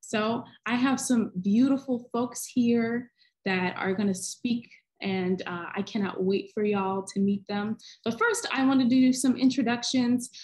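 A woman speaks at a fairly slow pace with ordinary pitch variation over a quiet background. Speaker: panel moderator. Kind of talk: panel introduction. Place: home room. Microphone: video call.

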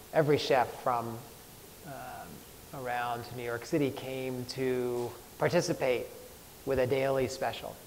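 A man with an American accent speaks in a monotone, flat way at a fairly slow pace, with long, frequent pauses and light background noise. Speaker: chef. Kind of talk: talk to live audience. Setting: stage with audience. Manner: halting. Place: hall. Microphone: lapel.

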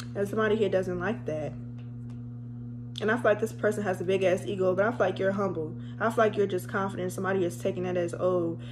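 Very fast talk from a woman with a fairly low pitch, with faint music in the background. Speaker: tarot reader. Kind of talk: casual tarot reading chat. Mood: playful, laughing, blunt. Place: home room. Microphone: phone near.

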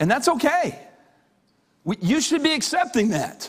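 A man's extremely high voice at a very slow pace, over a quiet background. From Canada. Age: 50s. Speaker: pastor. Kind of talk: sermon. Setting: church. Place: church.

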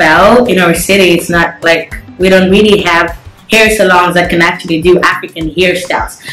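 Amid audible room echo and faint music in the background, a woman speaks at a moderate pace with fairly even intonation. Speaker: guest. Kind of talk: casual chat interview answer. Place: home room. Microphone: phone near.

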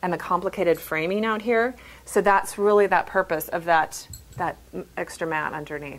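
The woman keeps a fairly quick pace. Her pitch moves in an ordinary way. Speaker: framing design instructor. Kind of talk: tutorial. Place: shop.

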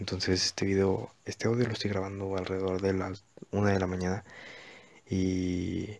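This man has a very deep, low pitch. He talks at a moderate pace in a monotone, flat intonation. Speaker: gaming youtuber. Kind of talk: voiceover narration of gameplay. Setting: recording away from home. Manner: hesitant, many fillers.

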